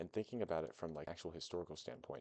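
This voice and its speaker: A man's very deep, low voice, dark and mellow, with vocal fry and ordinary pitch variation. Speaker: gaming video creator. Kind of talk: casual gameplay commentary. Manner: casual, hesitant with many fillers.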